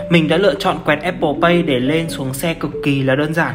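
Someone talks at a very fast pace amid noticeable background noise. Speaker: travel vlogger. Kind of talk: travel vlog narration.

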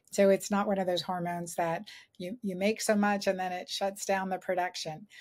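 Dark, mellow and somewhat breathy, a woman speaks with monotone, flat intonation. The background is quiet. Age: 50s. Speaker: gynecologist and author; guest. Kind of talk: interview. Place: home room.

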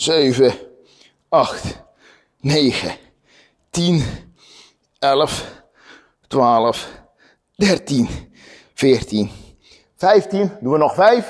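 A quiet background with a man's voice. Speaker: fitness instructor. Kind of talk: workout instruction, counting reps. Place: gym.

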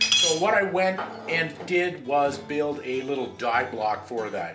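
A man's speech comes through with noticeable noise behind it. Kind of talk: tutorial. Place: workshop.

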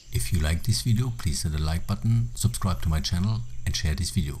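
A man with a very deep, low pitch, a dark, mellow tone and vocal fry, very wide pitch swings and a fairly quick pace. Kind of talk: nature documentary narration. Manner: measured, even, explanatory.

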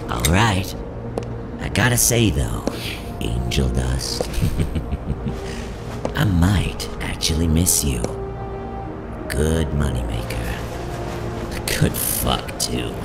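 Using a put-on character voice, a man speaks slowly at an extremely low pitch with vocal fry and lively intonation, leaving long, frequent pauses while clear music plays in the background.

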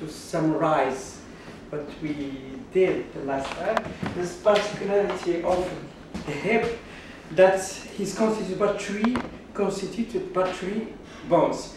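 Very slowly and at a high pitch, a man talks with ordinary pitch variation, with audible room echo and light background noise. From Morocco. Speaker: anatomy professor giving art workshop. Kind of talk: lecture. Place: classroom. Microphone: camera far.

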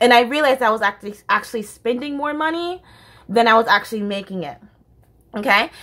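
A woman's fairly high voice with an American accent, an animated tone, lively intonation, a very fast pace and long, frequent pauses. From United States. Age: 20s. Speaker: YouTuber. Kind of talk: casual vlog monologue. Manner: animated, laughs often. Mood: candid, passionate. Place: home room. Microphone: phone near.

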